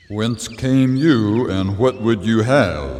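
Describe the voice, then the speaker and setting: Speaking in a medium pitch, a man uses a put-on character voice. His delivery is very slow. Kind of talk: archaic biblical speech. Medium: audio drama. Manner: formal, stern.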